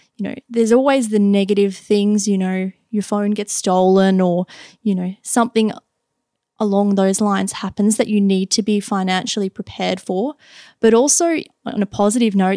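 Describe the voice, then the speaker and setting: A woman speaks at a medium pitch with fairly even intonation, a dark, mellow tone and an Australian accent. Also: very clean recording, silent background. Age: 20s. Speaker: IT and cybersecurity worker. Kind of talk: casual interview.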